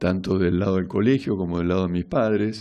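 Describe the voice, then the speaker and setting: A man speaks with an Argentine accent. His voice is very deep and low, with a dark, mellow tone. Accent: Rioplatense Argentine Spanish. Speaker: radio host. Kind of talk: casual radio monologue. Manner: halting.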